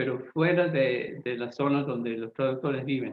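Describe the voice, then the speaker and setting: The man speaks with ordinary pitch variation. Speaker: Bible translator. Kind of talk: lecture. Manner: halting with fillers and self-repairs.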